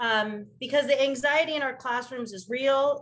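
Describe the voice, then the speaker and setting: Fairly quick, fairly even speech from a woman at a high pitch. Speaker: middle school social studies teacher. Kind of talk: panel discussion. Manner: fast.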